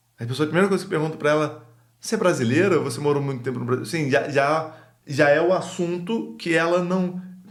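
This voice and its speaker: In a Rio de Janeiro accent, a man talks at a fairly quick pace with audible room echo. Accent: Rio de Janeiro Brazilian Portuguese. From Brazil, Rio de Janeiro. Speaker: podcast guest, immigrant. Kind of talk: casual chat.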